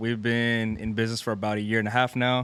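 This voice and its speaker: The man has an unremarkable speaking voice with a medium pitch. He talks at a fairly quick pace with fairly even intonation. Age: 20s. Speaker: clothing store co-owner. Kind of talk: casual interview chat.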